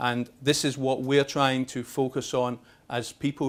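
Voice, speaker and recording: A man with a Scottish accent speaks at a medium pitch in monotone, flat intonation. The recording is very clean, with a silent background. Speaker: lubricants industry expert. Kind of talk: seminar presentation. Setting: seminar with invited audience at exhibition. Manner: fast; halting, many fillers and repetitions.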